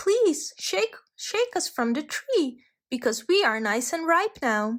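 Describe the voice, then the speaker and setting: A woman puts on a character voice at an extremely high pitch. She speaks at a fairly slow pace with very wide pitch swings. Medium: read story.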